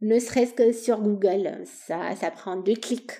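In a slight Romanian accent, a woman speaks very slowly with a dark, mellow tone and fairly even intonation. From Romania, Bucharest. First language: Romanian (speaking French). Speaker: podcast host. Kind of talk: solo travel storytelling.

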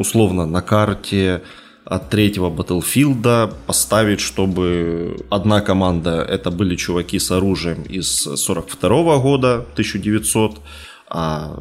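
Very slowly and with vocal fry, a man talks in a very deep, low voice with lively intonation. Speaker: podcast host. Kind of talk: casual chat.

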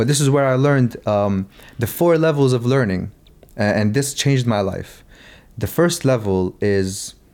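At a fairly slow pace, a man speaks in a medium pitch with lively intonation. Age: 20s. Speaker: entrepreneur. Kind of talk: casual chat.

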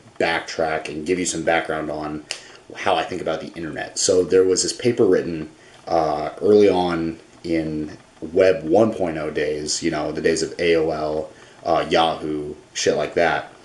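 A man's very deep, low voice, fairly slow and fairly even in intonation, over noticeable background noise. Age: 20s. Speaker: vlogger. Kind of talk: casual monologue. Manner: low energy.

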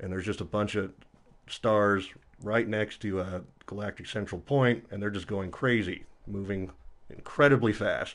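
A man with an unremarkable speaking voice talks at a moderate pace, fairly low in pitch and with fairly even intonation. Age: 30s. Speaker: geology student and musician. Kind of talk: casual chat.

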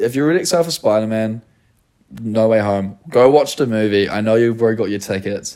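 A man with a New Zealand accent talks at a fairly quick pace. His medium-pitched voice has a dark, mellow tone and ordinary pitch variation. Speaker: podcast host and content creator. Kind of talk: casual chat.

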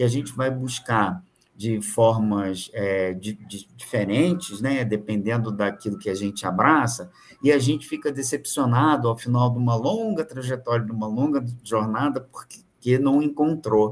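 Slow-ish and medium in pitch, a man's unremarkable speaking voice moves with ordinary pitch variation and a fairly slow pace. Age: 50s. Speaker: business mentor. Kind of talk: casual chat.

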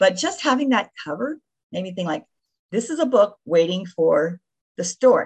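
Somewhat breathy, a woman with an American accent speaks with very wide pitch swings. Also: medium pitch for a woman, moderate pace, big swings in loudness. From Florida (Davie). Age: 60s. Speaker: retired nurse and memoirist. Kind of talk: interview.

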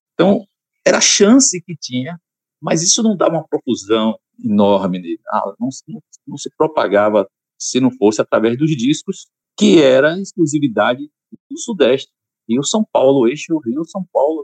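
A man talks at a fairly high pitch with very wide pitch swings. Long, frequent pauses break up his speech. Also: moderate pace. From Salvador, Bahia, Brazil. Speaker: choir conductor and musician. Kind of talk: casual interview.

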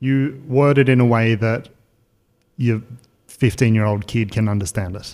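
A man of medium pitch speaks at a moderate pace with ordinary pitch variation. He leaves long, frequent pauses. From Australia. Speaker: podcast host. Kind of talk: casual chat.

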